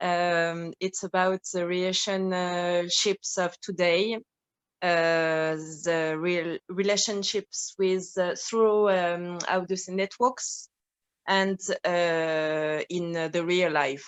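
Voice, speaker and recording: In a French accent, a woman talks very slowly in a fairly low, monotone, flat voice. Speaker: actress and filmmaker. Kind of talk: Q&A talkback. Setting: video call. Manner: halting.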